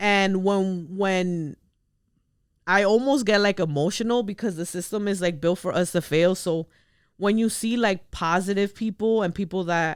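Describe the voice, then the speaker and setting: A woman with a Spanish accent at a moderate pace, in a very clean recording with a silent background. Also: medium pitch for a woman, ordinary pitch variation. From US, Dominican immigrant family. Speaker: podcast host. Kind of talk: casual chat.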